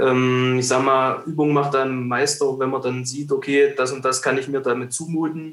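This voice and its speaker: A man's medium-pitched, monotone delivery with flat intonation, a moderate pace and hardly any pauses. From Thuringia, Germany. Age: 20s. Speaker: wildlife photographer. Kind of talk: casual interview.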